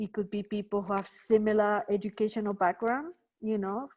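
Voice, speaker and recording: Someone with a Spanish accent talks at a moderate pace in a dark, mellow tone, with fairly even intonation. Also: woman. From Spain. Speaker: workshop trainer. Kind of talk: online workshop lecture. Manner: conversational, many fillers.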